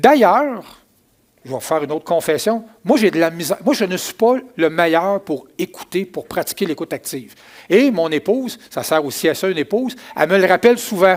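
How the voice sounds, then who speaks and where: A man with a Quebec accent, high-pitched and lively in intonation, at a moderate pace. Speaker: pastor. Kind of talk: sermon.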